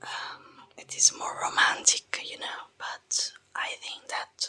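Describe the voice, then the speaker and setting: The pace is very slow. A woman whispers throughout. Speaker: ASMR creator. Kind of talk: whispered ASMR book talk. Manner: soft-spoken, whispered, calming.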